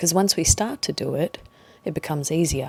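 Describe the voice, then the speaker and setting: A woman's very deep, low voice, dark and mellow with a calm tone, in a dry, close sound with no echo. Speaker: meditation guide. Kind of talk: guided meditation. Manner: calm, slow.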